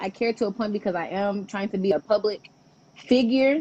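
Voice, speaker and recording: A woman's voice at a fairly quick pace with ordinary pitch variation. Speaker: podcast host. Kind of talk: casual interview chat. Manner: loud.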